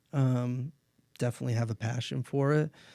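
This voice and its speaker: A man with an ordinary speaking voice talks at a moderate pace with fairly even intonation, recorded with a dry, close sound and no echo. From US Midwest, northeast Ohio. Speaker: sports sales professional. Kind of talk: podcast interview.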